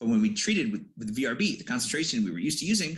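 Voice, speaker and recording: In a quiet background, a man speaks with an American accent. His pitch is high, and it swings very widely. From US Midwest, Detroit; Michigan. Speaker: PhD student. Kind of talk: scientific presentation. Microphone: video call.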